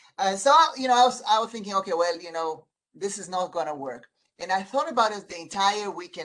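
Lively intonation marks a woman's unremarkable speaking voice, delivered with an American accent. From outside the US. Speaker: eye surgeon and medical group president. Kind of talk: podcast interview. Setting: video call.

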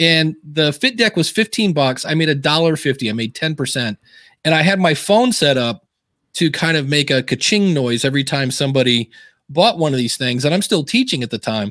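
Lively intonation marks this man's ordinary speaking voice, which sits at a fairly high pitch and sounds dry and close with no echo. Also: fairly quick pace. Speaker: podcaster and author. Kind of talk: casual interview chat. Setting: live stream video call.

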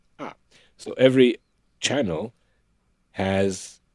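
A man speaks in an animated tone with lively intonation. The sound is dry and close, with no echo. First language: not English. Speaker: acupuncturist with emergency medicine background. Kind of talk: interview conversation.

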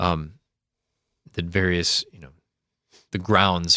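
A man with an Upper Midwest accent has a very deep, low pitch and a bright, sharp tone. The recording is very clean with a silent background. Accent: Upper Midwest American. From US Midwest, Sioux Falls, South Dakota. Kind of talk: casual explanatory discussion.

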